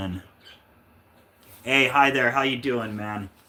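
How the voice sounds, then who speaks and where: Fairly low-pitched man with an American accent, bright, sharp tone and moderate pace. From Kansas, US Midwest. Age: 40s. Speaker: record collector livestreamer. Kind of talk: casual livestream chat. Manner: casual, hesitant with many fillers.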